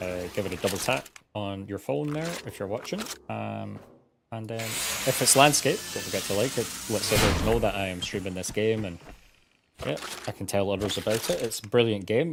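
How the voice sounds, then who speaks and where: With a British accent, a man speaks at a fairly quick pace, his fairly low pitch carried by lively intonation. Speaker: gaming streamer. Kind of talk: live gameplay commentary.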